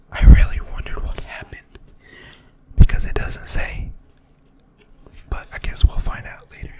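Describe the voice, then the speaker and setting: A whisper comes through over clearly audible background noise. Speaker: ASMR creator. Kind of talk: ASMR book reading for sleep. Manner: whispered.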